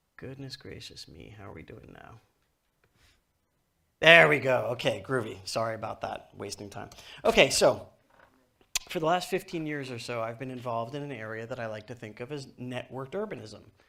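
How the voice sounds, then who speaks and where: On a very clean recording with a silent background, a man with a medium pitch and an American accent speaks with ordinary pitch variation, big swings in loudness and long, frequent pauses. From US, New York. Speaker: author and technology speaker. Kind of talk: conference keynote. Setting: stage with audience. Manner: fast.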